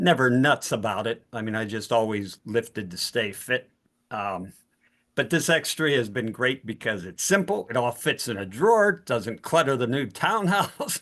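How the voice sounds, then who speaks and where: With an American accent, a man talks at a moderate pace in an unremarkable speaking voice, his medium pitch carried by lively intonation over a quiet background. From Pittsburgh, US. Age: 60s. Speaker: participant sharing a testimony. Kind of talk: testimony.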